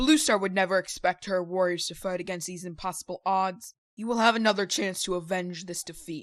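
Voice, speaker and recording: A put-on character voice that sounds female, pitched in the middle and moving at a fairly quick clip with hardly any pauses. The background is quiet. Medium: audio drama. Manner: steady, authoritative.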